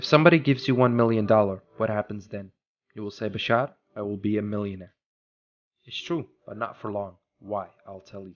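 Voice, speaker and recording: Fairly low in pitch, a man talks at a fairly quick pace with ordinary pitch variation, big swings in loudness and long, frequent pauses. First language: not English. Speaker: podcast host. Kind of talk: motivational talk.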